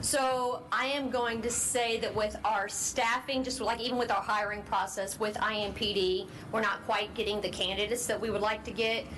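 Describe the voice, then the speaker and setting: With audible room echo and noticeable background noise, a woman speaks at a moderate pace and fairly high pitch, her intonation fairly even and her speech hardly broken by pauses. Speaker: police officer. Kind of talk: public meeting. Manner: loud.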